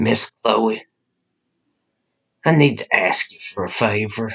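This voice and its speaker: A man's raspy, put-on character voice at a medium pitch and fairly slow pace, with dry, close sound and no echo. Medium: audio drama. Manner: easy, charming drawl.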